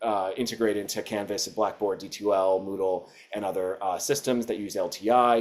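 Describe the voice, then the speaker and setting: A man talks at a fairly quick pace. His pitch is fairly low and his intonation fairly even. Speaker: educational publisher representative. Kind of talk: webinar presentation. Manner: fast; many fillers and restarts.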